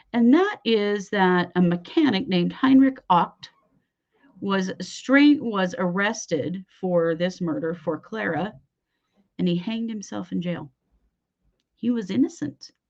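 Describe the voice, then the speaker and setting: A woman with an Idaho accent, medium pitch and lively intonation, speaking at a fairly slow pace with long, frequent pauses. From US West, Idaho. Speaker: true crime podcast host. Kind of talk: casual true crime storytelling. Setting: late-evening live show. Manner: conversational, with filler words.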